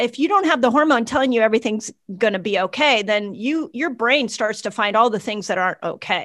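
Fairly quick speech with lively intonation, in a very clean recording with a silent background. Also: woman, fairly high pitch for a woman. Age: 50s. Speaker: doctor and health educator. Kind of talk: casual interview. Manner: animated.

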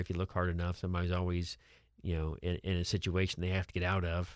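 Over a very clean recording with a silent background, a man with a very deep, low voice rattles along at a very fast pace in a monotone, flat intonation. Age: 50s. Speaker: financial advisor. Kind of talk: radio talk show interview. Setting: radio studio. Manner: conversational, repeats words often.

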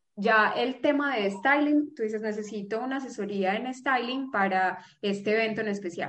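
A woman speaks in an ordinary speaking voice. Her pitch is fairly high, with ordinary pitch variation. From Colombia, Pereira. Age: 30s. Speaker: image consultant and fashion designer. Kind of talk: casual interview.

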